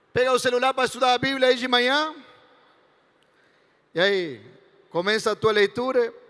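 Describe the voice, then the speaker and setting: With an Argentine accent, a man speaks at an extremely high pitch with ordinary pitch variation, a moderate pace and long, frequent pauses, in a dry, close sound with no echo. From Argentina, Entre Ríos. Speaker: pastor. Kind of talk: sermon to youth event. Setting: stage with audience. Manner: animated, joking.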